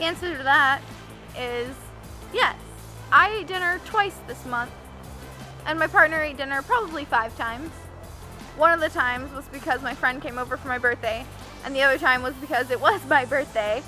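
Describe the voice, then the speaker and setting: Over faint music in the background, a woman uses a raised, projected voice at a fairly quick pace, with big swings in loudness, ordinary pitch variation and a dry sound with no echo. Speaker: health vlogger. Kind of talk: casual vlog chat. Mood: upbeat, friendly. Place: forest.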